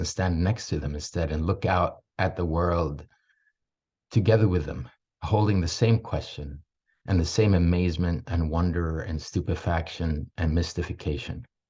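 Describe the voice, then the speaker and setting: A man talks at a moderate pace, his very deep, low voice somewhat breathy. The background is quiet. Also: ordinary pitch variation. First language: Swedish. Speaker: parenting mentor. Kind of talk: talking-head monologue.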